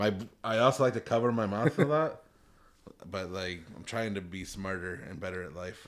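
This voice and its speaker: A man with a Chicago accent, fairly low pitch, moderate pace, lively intonation and big swings in loudness. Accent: Midwestern US (Chicago area). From northern Illinois. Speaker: podcast host. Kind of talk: casual chat. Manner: mumbling. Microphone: new desk-mounted mics with limiters.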